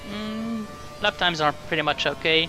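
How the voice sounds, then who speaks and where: A man with a non-native accent, music playing in the background. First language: not English. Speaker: sim racing gamer. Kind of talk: game commentary.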